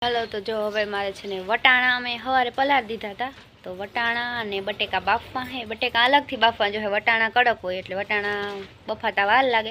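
A woman talks in a bright, sharp tone at a fairly high pitch. Her intonation is fairly even, but her loudness swings widely. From Saurashtra, Gujarat. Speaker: village vlogger. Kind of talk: casual vlog narration.

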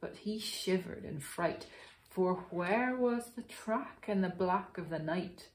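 The reading aloud is plain, and its pitch varies in an ordinary way.

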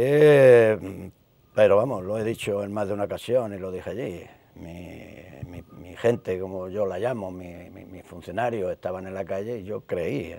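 A man speaks at a fairly low pitch in a dark, mellow tone, with ordinary pitch variation. His pace is fairly slow, his loudness swings widely, and the sound is dry with no echo. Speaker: retired police inspector and youth football coach; youth football coach. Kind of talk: interview. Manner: halting, many repetitions. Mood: reflective, at times emotional. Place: studio. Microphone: lapel.

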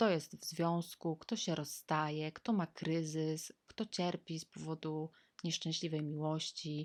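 A woman's very deep, low voice at a very slow pace, with fairly even intonation, a dry, close sound with no echo, and a very clean recording over a silent background. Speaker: vlogger. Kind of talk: personal storytelling monologue. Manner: casual, conversational.

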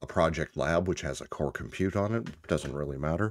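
Talking at a fairly quick pace, a man with a very deep, low pitch keeps ordinary pitch variation. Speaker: tech tutorial presenter. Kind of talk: tutorial.

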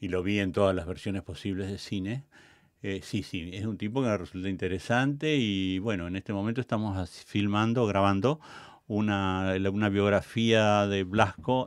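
Speaking at a moderate pace, a man uses an ordinary speaking voice. His pitch is fairly low, with ordinary pitch variation. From Argentina, La Pampa. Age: 60s. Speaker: theatre director and cultural manager. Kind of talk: interview. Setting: studio.

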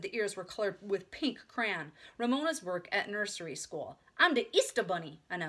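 The words are read aloud in a natural voice. Intonation moves in a lively way.

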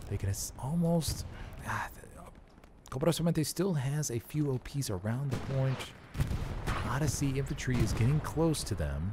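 Lively intonation at a fairly slow pace, over noticeable background noise. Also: man, medium pitch for a man. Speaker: esports commentator. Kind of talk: live sports-style game commentary. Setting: studio booth commentary. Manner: animated, excitable play-by-play.

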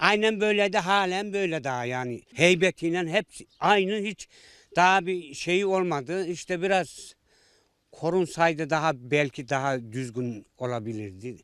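On a very clean recording with a silent background, a man talks at a fairly slow pace. His pitch is high and his intonation lively. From Central Anatolia, Ankara countryside. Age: 60s. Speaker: villager. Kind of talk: interview. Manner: halting.

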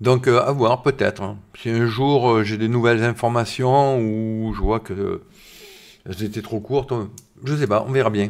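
With a quiet background, a man's fairly slow speech keeps a fairly even intonation. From southern France, Var. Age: 50s. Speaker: science YouTuber. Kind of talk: live stream chat. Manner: casual, hesitant with many fillers. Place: home room. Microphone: studio mic.

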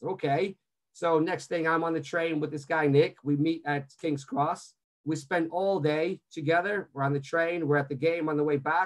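Against a quiet background, a man talks at a moderate pace with fairly even intonation and a fairly high pitch. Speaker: sports media executive; webinar guest. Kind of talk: webinar presentation. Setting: video call. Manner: halting, many fillers. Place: home room. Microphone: video call.

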